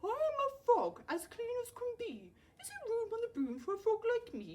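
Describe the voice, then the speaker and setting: A woman puts on a croaky, squeaky character voice at an extremely high pitch. She keeps a moderate pace. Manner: polite, pleading.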